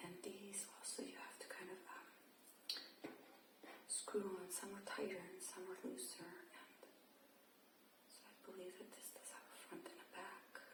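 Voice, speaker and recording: A woman whispering at a fairly slow pace in a gentle, relaxed tone, over noticeable background noise. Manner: soft-spoken, gentle, relaxed.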